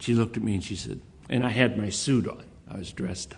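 Talking at a fairly quick pace, a man with an American accent sounds somewhat breathy. His tone is dark and mellow. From Texas. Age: 60s. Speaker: person with Alzheimer's, advocate. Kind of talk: speech and interview.

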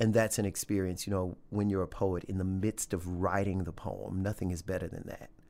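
With a Louisiana accent, a man speaks at a fairly quick pace in a very deep, low pitch, his dark, mellow tone flat and monotone on a very clean recording with a silent background. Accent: Southern US (Louisiana). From US South, Louisiana. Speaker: poet. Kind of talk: interview. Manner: chatty.

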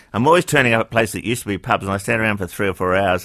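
A man speaks with a New Zealand accent at a fairly low pitch, his tone bright and sharp. The recording is very clean, with a silent background. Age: 70s. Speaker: radio host. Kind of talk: casual chat.

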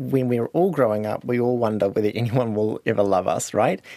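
This man talks with a New Zealand accent at a fairly quick pace and a medium pitch. The sound is dry and close with no echo, on a very clean recording with a silent background. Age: 30s. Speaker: high school teacher. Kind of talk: interview.

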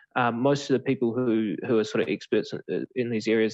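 A man with a New Zealand accent speaks at a fairly quick pace and a medium pitch. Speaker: political reporter. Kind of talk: interview. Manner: hesitant, many fillers.

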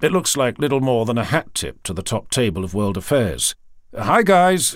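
A man talks at a moderate pace and medium pitch, with vocal fry and very wide pitch swings. The recording is very clean, with a silent background. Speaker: audiobook narrator. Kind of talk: reading aloud.

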